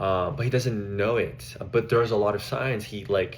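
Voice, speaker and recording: The man's voice is fairly low and somewhat breathy, with fairly even intonation. Audible room echo surrounds it. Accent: Spanish. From Mexico. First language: Spanish. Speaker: social work student. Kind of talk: class presentation. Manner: halting, with fillers.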